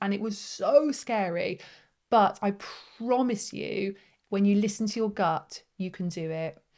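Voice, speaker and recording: The setting is quiet. A woman talks in a British accent. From Britain. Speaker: face yoga teacher and business coach. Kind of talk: live webinar workshop. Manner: warm, encouraging.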